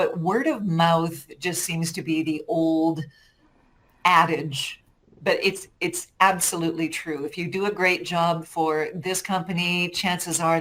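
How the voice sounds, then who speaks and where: A woman talks in an ordinary speaking voice, fairly low-pitched, her intonation staying fairly even. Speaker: voice actor. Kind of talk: interview answer.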